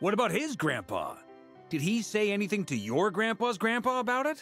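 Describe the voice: A man's put-on character voice, high-pitched and fairly bright, with very wide pitch swings at a moderate pace over faint background music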